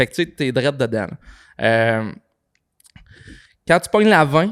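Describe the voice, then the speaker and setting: A man with a Quebec accent speaks at a fairly slow pace in a fairly high pitch, with very wide pitch swings and big swings in loudness. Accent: Québécois French. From Quebec, Saint-Méthode (Frontenac). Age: 20s. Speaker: podcast co-founder. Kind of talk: casual chat.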